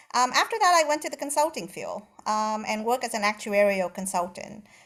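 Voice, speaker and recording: This woman speaks with a Vietnamese accent at a fairly high pitch, using lively intonation and a fairly quick pace. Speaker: retired actuarial consultant. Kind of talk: panel discussion.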